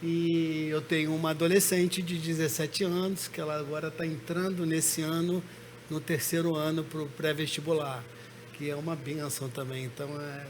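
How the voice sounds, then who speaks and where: Noticeable background noise and audible room echo around a man of fairly high pitch, at a moderate pace with fairly even intonation. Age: 60s. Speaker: pastor. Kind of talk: testimony.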